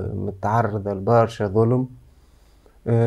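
A man's medium-pitched voice with a dark, mellow tone, set against a quiet background. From Tunisia. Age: 30s. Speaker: choreographer; guest. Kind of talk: interview. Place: studio.

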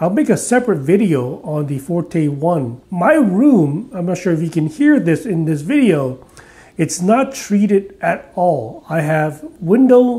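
A man's dark, mellow, high-pitched voice, fairly slow, with lively intonation.

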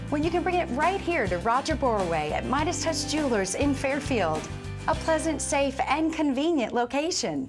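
Over clear background music, a woman with a high pitch talks at a moderate pace, her pitch swinging very widely. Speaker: actress. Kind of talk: infomercial host read. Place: shop. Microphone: lapel.

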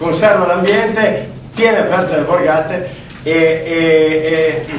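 A man's high-pitched voice, with audible room echo and light background noise. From Piedmont. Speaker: livestock farmer speaking at a public hearing. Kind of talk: public meeting speech. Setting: public hearing in a meeting hall. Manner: halting, many repetitions and fillers. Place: meeting room. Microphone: camera far.

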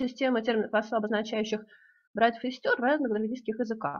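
Her voice is fairly high in pitch, with fairly even intonation, as this woman talks at a moderate pace. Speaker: linguistics researcher; presenter. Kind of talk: conference talk. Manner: halting. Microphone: too quiet, far from mic at first; video call.

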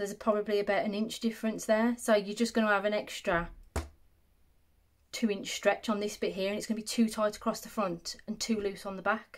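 Fairly quick and fairly high-pitched, a woman speaks in an English Midlands accent. Her intonation is monotone and flat. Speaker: sewing content creator; sewing tutor. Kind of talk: tutorial. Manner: casual, conversational.

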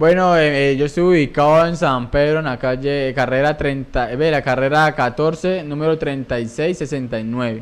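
At a very slow pace, a man speaks at a fairly high pitch with fairly even intonation. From Colombia, Palmira (Valle del Cauca); Valle del Cauca, Colombia. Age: 20s. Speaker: barber; interview guest. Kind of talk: interview. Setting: studio. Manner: halting, repeats words. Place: studio. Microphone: studio mic.

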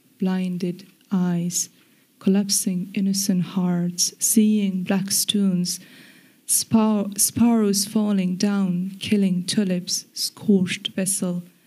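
Against a quiet background, a woman speaks very slowly in a somewhat breathy voice with a dark, mellow tone and monotone, flat intonation. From Afghanistan. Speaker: poet. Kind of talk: poetry reading. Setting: stage with audience. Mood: solemn, grave. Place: stage. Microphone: podium.

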